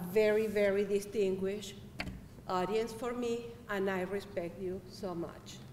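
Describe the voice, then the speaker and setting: A woman with a Spanish accent at a fairly slow pace, medium-pitched, with audible room echo and noticeable background noise. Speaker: public health worker. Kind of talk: speech to student assembly.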